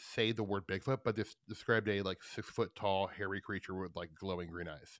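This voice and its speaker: In a dry, close recording with no echo and a silent, very clean background, a man talks at a fairly quick pace in an animated tone. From Nebraska, Omaha. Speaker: podcast host. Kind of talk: casual chat.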